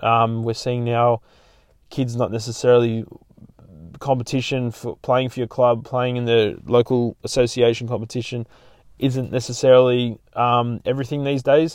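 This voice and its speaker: A man with an Australian accent, flat monotone intonation and a moderate pace. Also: medium pitch for a man. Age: 40s. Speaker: podcast host. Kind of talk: casual chat.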